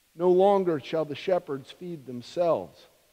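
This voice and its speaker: This man's voice has a dark, mellow tone. He talks at a fairly slow pace with ordinary pitch variation. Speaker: minister. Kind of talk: scripture reading in a sermon. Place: church. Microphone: podium.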